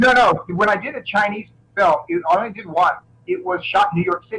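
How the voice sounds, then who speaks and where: A man's raised, projected voice at a high pitch. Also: ordinary pitch variation, fairly quick pace. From Florida, US South. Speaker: martial artist and action film actor. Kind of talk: interview. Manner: halting, repeats words.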